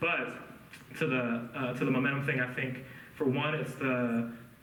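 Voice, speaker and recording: A man with an American accent speaks at medium pitch. Noticeable background noise and audible room echo surround him. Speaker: writer. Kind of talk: Q&A at a literary reading. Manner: fast; many filler words.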